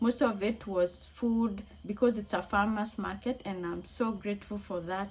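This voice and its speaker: Speaking at a moderate pace, a woman has a medium pitch, a somewhat breathy voice, and fairly even intonation. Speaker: crochet vlogger. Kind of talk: casual vlog talk to camera. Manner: conversational with hesitations.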